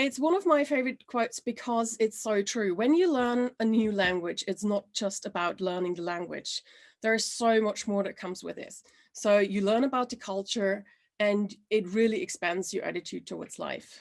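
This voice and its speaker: A woman's fairly high voice with ordinary pitch variation over a quiet background. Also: moderate pace. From Austria (Salzburg). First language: German. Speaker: language trainer. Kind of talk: presentation.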